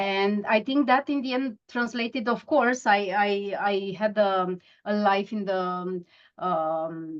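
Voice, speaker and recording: In a Romanian accent, a woman speaks at a very slow pace. Her medium pitch shows ordinary variation. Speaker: mindfulness coach. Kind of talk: interview. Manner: halting.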